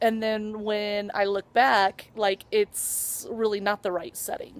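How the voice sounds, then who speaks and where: A woman speaks at a fairly slow pace, her pitch fairly high. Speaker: vlogger. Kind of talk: vlog. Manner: rambling, filler-heavy.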